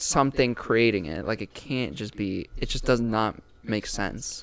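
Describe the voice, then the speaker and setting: In an unremarkable speaking voice, a man talks at a moderate pace and a medium pitch. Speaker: podcast host. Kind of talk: casual chat. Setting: studio.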